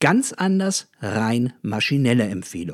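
On a very clean recording with a silent background and a dry, close sound with no echo, a man at medium pitch moves through very wide pitch swings. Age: 40s. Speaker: customer management educator. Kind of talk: scripted monologue.

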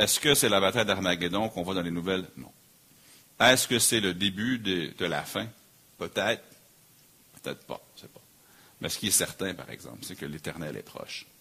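The tone is bright and sharp, with ordinary pitch variation at a moderate pace. Loudness swings widely, and the pauses are long and frequent. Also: man, very deep, low pitch for a man. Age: 40s. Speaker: pastor. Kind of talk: sermon.

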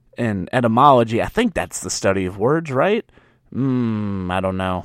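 A man with a Southern US accent, animated in tone, at a moderate pace, in a very clean recording with a silent background. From US South. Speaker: podcast host. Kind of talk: casual solo monologue. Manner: stammering, repeats words.

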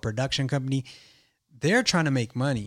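A man with an American accent in a normal speaking voice, on a very clean recording with a silent background. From East Los Angeles. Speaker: podcast host and artist manager. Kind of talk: casual interview chat.

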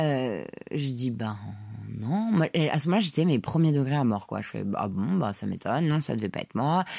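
A woman speaks at a very deep, low pitch with a dark, mellow tone. Her pitch swings very widely, and her pace is moderate. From France, Paris. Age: 30s. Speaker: podcaster. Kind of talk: solo audio diary. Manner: casual, hesitant.

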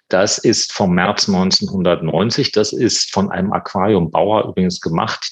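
There is noticeable background noise in this clip. A man is speaking. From eastern Germany, Potsdam. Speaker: museum director and art historian. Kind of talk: interview.

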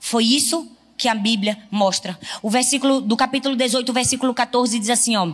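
A woman with a northeastern Brazilian accent speaks at a fairly quick pace and a high pitch, with ordinary pitch variation. Her tone is animated and her loudness stays very even. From Northeast Brazil. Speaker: pastor. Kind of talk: sermon.

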